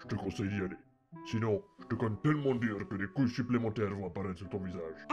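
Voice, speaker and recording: A man puts on a character voice at a fairly low pitch. He talks at a very fast pace over faint music in the background. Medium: audio drama. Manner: crude, sarcastic.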